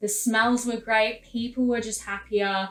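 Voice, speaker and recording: The speaker is a woman with an Australian accent. Her pitch sits fairly high. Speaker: vlogger, former drama student. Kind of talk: casual vlog talk to camera.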